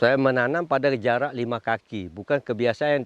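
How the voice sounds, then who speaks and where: A man at a medium pitch and fairly quick pace, in a dry, close sound with no echo. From Malaysia, Kuala Selangor. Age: 60s. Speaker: farmer and livestock breeder. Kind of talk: interview-style testimony.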